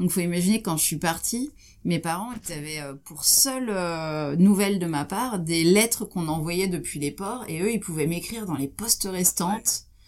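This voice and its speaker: A woman talks in a normal speaking voice at a moderate pace. Her pitch is fairly low and varies in an ordinary way. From France, Champagne (Troyes). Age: 40s. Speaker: ocean explorer and expedition leader. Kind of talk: interview.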